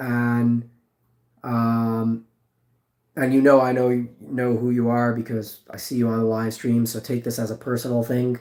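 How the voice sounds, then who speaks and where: Speaking at a fairly slow pace, a man talks with a medium pitch. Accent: American. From New York. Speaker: livestreamer. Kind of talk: casual chat. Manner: casual, filler-heavy.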